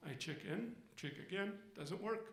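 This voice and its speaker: A man's voice with audible room echo. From Egypt. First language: Arabic. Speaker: storyteller. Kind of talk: stage storytelling. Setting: stage with audience.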